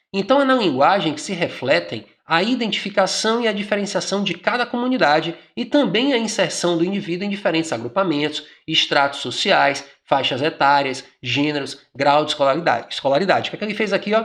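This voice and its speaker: With hardly any pauses, a man speaks at a fairly quick pace in a high voice with very wide pitch swings. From Brazil, Bahia. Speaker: exam prep teacher. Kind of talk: exam question tutorial. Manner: conversational, informal.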